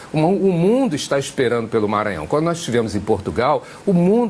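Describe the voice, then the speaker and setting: A man's pitch swings very widely while noticeable background noise runs beneath. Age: 60s. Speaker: senate candidate. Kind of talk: tv interview.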